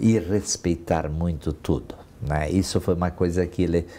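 A man with a very deep, low pitch and a dark, mellow tone speaks at a fairly slow pace. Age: 60s. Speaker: retired business executive. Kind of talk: interview; interview answer. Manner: halting. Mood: warm, reminiscing. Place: office. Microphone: lapel.

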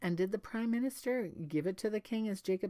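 Pitch varies in an ordinary way. The voice is a natural reading one.

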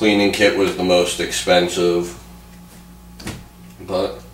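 A man delivers the words at a fairly slow pace. Room echo is audible, with light background noise as well. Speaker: hobbyist vlogger. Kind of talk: casual vlog chat. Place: home room. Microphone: camera far.

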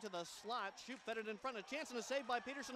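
Over music in the background, a man speaks in a raised, projected voice at a high pitch. His tone is excited and animated. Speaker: hockey play-by-play announcer. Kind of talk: hockey play-by-play commentary. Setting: rink broadcast over game highlights. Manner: fast, rapid-fire, animated call of the action; excited on goals.

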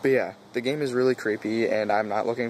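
Speech comes at a fairly quick pace with fairly even intonation. The sound is dry with no echo, and there is light background noise. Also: man. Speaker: gaming vlogger. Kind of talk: casual vlog chat. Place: forest. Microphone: phone near.

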